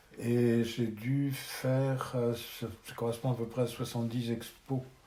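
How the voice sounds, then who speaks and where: Noticeable background noise and audible room echo surround the recording. The man's voice sits at a medium pitch. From France, Charente-Maritime (Rochefort). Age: 70s. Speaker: retired photographer. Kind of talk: interview.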